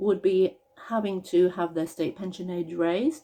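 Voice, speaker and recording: A woman with a British accent talks at a medium pitch. Her intonation is fairly even. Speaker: pensions campaigner. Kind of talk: casual talk to camera.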